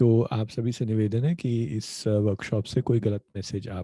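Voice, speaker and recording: A man's somewhat breathy voice with a dark, mellow tone and fairly even intonation, dry and close with no echo. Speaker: workshop presenter on nonprofit law. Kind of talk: online workshop lecture. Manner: halting with many fillers.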